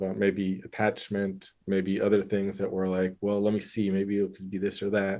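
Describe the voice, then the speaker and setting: A man's dark, mellow tone at a fairly low pitch. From US Midwest, Michigan. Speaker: therapist. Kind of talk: interview. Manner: casual, hesitant with fillers.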